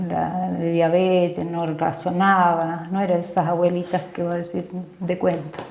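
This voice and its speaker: Noticeable background noise and audible room echo surround the recording. A woman speaks at a fairly slow pace with a fairly low pitch. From Argentina, Mendoza (San Martín). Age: 60s. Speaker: physician. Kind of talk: interview, life story. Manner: hesitant, many fillers.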